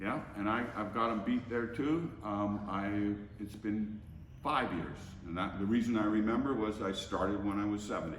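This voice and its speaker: A man speaks at a moderate pace with fairly low pitch and fairly even intonation, over noticeable background noise and audible room echo. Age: 70s. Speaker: gym member. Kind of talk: testimony. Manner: halting, stammering.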